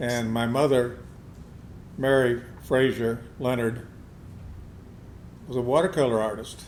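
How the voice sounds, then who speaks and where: In an American accent, the speaker goes at a fairly slow pace with fairly even intonation, long, frequent pauses and audible room echo. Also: man, medium pitch for a man. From US South (Georgia), then Iowa. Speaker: fine artist and sculptor. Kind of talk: interview. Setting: art gallery.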